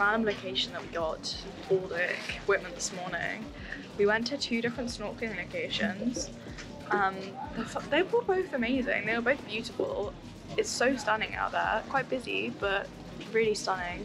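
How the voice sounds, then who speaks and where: Clear music plays in the background as a woman speaks at a moderate pace with ordinary pitch variation and long, frequent pauses. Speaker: travel vlogger. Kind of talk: casual vlog chat. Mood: cheerful, relaxed. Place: street. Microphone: phone near.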